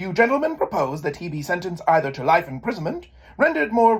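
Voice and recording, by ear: A passage is read aloud in a natural voice.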